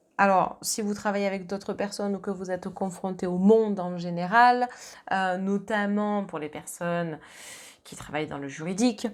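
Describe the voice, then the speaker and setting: A woman with a plain, everyday voice speaks at a medium pitch and moderate pace, with fairly even intonation and big swings in loudness. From southern France. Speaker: medium and tarot reader. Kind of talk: astrology card reading.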